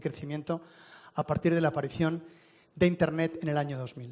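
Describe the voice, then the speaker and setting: Words come at a very fast pace in a Spanish accent. The intonation is fairly even. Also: man. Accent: Spanish (Spain). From Spain. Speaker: telecom executive. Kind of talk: conference presentation. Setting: stage with audience.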